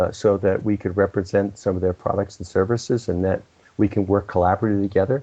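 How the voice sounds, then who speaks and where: A man at a very fast pace and fairly low pitch. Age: 70s. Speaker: entrepreneur and business consultant. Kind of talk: interview. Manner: halting, many fillers and restarts.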